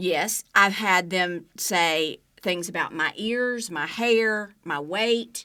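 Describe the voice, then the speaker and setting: With a Southern US accent, a woman speaks at a very slow pace with hardly any pauses, her bright, sharp, medium-pitched voice showing ordinary pitch variation. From Alabama, US South. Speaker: TV news journalist. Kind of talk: interview answer.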